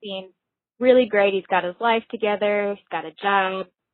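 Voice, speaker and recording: A woman's normal speaking voice with an American accent, at a moderate pace with ordinary pitch variation. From Minnesota. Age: 20s. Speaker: caller. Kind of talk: recorded voicemail question.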